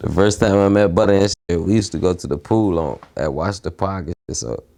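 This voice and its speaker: On a very clean recording with a silent background, a man with an American accent speaks at a fairly quick pace, his fairly low pitch varying in an ordinary way and his tone dark and mellow. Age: young. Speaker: interviewee, street figure. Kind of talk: casual interview.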